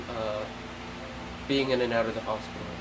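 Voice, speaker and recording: A medium-pitched man with fairly even intonation over noticeable background noise. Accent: American. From Central Florida. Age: 20s. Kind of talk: personal appeal to camera.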